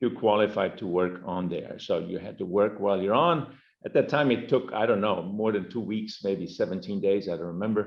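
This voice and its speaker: The speaker, in a German accent, goes at a fairly quick pace with hardly any pauses and ordinary pitch variation. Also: man, fairly low pitch for a man. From Germany, later Brazil. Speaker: company executive. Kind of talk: interview.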